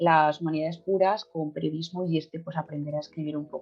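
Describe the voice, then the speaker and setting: A woman talks fairly quickly. Music plays behind her. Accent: Madrid. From Madrid, Spain (Tetuán). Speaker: journalist. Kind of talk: casual interview chat. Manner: hesitant, many fillers.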